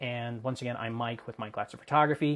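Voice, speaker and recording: Fairly quick delivery from a man with ordinary pitch variation. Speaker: photographer and software tutorial creator. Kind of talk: tutorial. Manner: fast.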